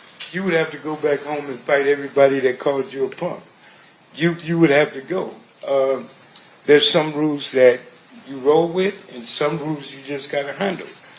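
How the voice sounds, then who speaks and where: Amid noticeable background noise, a man with a fairly high pitch speaks at a moderate pace with fairly even intonation and big swings in loudness. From Compton, California. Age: 60s. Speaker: trial witness. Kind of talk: courtroom testimony. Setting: courtroom. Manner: halting.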